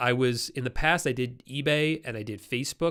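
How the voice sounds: In a very clean recording with a silent background, a man speaks at medium pitch with a nasal, fairly bright tone and ordinary pitch variation.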